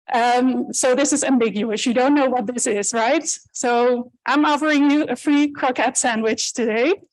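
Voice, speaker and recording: Someone with a Dutch accent talks at a moderate pace with hardly any pauses. The loudness stays very even, and the pitch varies in an ordinary way. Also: woman, high pitch for a woman. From Netherlands. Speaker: animal welfare researcher. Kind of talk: conference talk.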